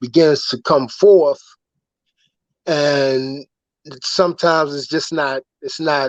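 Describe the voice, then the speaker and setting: This man's voice sits fairly high in pitch. He speaks at a fairly slow pace with fairly even intonation. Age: 60s. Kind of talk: casual chat. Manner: halting.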